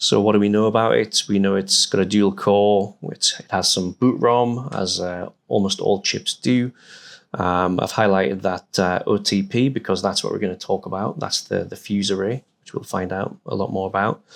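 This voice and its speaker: A man with a northern English accent, fairly low pitch and fairly even intonation, at a moderate pace in a very clean recording with a silent background. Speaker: hardware security researcher. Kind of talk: conference talk. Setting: stage with audience. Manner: halting, many fillers.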